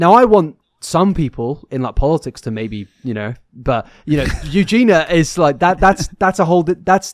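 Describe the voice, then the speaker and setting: In a British accent, a man speaks at a moderate pace with a fairly high pitch and very wide pitch swings. The sound is dry and close, with no echo. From UK. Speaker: podcast co-host. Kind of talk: casual chat. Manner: animated.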